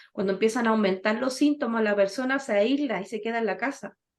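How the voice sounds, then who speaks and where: A woman with an ordinary speaking voice, fairly high pitch, and ordinary pitch variation, at a moderate pace over a quiet background. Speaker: physiotherapist running a senior health workshop. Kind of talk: online health workshop talk.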